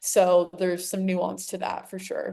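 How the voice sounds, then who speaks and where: This woman has an American accent and a medium pitch. She talks at a moderate pace. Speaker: naturopathic-style doctor. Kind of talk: interview.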